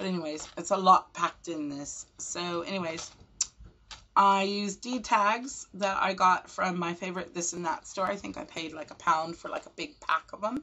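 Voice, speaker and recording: This woman has a plain, everyday voice at a medium pitch, talking at a moderate pace with ordinary pitch variation and big swings in loudness. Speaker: craft video maker. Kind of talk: show-and-tell tutorial.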